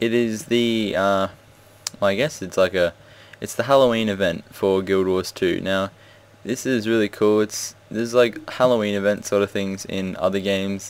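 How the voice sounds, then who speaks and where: A man with a plain, everyday voice speaks at a moderate pace, fairly low in pitch, with fairly even intonation. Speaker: gaming video creator. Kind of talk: casual gameplay commentary.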